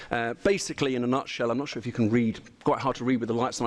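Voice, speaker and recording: Male speaker, British accent. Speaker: engineer. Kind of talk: presentation. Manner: fast.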